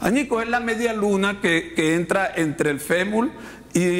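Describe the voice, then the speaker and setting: A man speaks fairly slowly at a high pitch. Audible room echo and noticeable background noise fill the recording. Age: 60s. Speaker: pastor. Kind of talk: sermon. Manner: halting, many repetitions and fillers.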